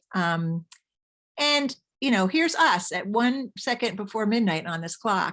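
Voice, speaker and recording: Against a quiet background, an ordinary speaking voice moves at a fairly slow pace with lively intonation. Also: woman. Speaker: mycologist giving a talk. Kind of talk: lecture.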